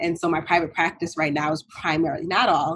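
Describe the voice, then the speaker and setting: This woman talks in a monotone, flat way with an American accent and a fairly low pitch. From New York City (Bronx). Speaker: clinical psychologist. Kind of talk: interview.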